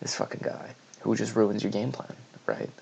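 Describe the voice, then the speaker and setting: A soft-spoken man with a very deep, low pitch at a moderate pace. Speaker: esports commentator. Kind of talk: video essay monologue. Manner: halting.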